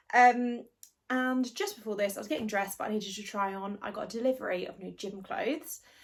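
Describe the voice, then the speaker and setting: At a fairly quick pace, the somewhat breathy voice shows ordinary pitch variation. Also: woman. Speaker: book vlogger. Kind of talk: casual chat. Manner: chatty, rambling. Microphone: no microphone.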